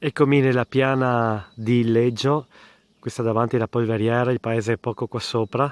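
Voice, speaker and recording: A man speaks at a moderate pace in a medium pitch, his intonation flat and monotone, in a dry, close sound with no echo. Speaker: hiker vlogger. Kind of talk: outdoor vlog narration. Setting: outdoors on a mountain trail.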